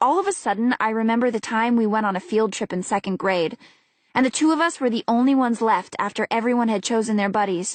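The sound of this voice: This is an unforced reading voice. The words come in an unforced reading voice throughout.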